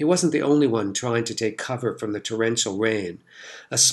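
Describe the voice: The voice is plain reading aloud with ordinary pitch variation.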